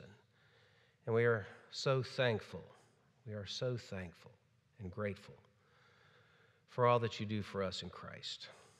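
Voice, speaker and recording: A man speaks at a fairly low pitch and moderate pace, his intonation fairly even, with a quiet background. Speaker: minister. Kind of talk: prayer then sermon introduction. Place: church.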